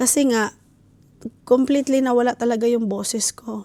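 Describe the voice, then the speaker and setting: A woman speaks at a moderate pace in a fairly high voice with a dark, mellow tone. The sound is dry and close, with no echo. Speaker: family vlogger. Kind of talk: casual vlog talk. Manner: hesitant with fillers.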